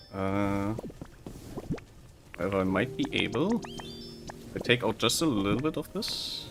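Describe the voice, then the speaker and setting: Over music in the background, a man with a slight German accent talks fairly slowly at a fairly low pitch, with lively intonation and long, frequent pauses. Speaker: video game streamer. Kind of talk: casual live-stream chat while gaming. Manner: halting, frequently repeats words.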